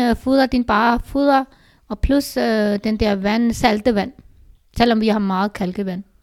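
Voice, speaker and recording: The speech unfolds at a very slow pace. It is a woman whose pitch moves in an ordinary way. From Pakistan. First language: Urdu/Punjabi (speaking Danish). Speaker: host's mother. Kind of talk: casual chat. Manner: halting.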